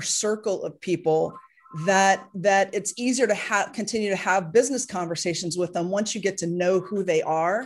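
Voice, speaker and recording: Here a woman speaks with ordinary pitch variation. Behind her the background is quiet. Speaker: podcast host. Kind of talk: interview. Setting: studio. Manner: high energy.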